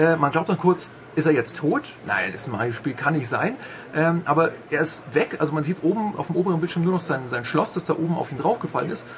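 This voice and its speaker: With lively intonation and a fairly high pitch, a man talks at a fairly quick pace against noticeable background noise. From Bavarian Swabia (Augsburg). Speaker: video game journalist. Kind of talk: casual chat. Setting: studio.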